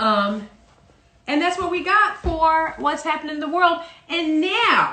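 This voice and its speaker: A woman's raised, projected voice at an extremely high pitch, lively intonation, fairly slow pace. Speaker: parody news anchor. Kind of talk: casual comedic parody news talk.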